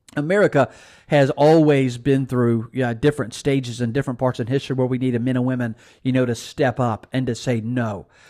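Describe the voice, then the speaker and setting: A man with a Mississippi accent, medium pitch and a dark, mellow tone, fairly quick pace and fairly even intonation, on a very clean recording with a silent background. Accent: Southern US (Mississippi). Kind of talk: political commentary monologue, sermon-like.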